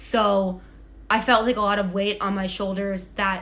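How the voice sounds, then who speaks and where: A woman with an American accent at a medium pitch, with audible room echo. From Massachusetts, near Boston. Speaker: Olympic skier. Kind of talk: casual chat. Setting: at home in apartment.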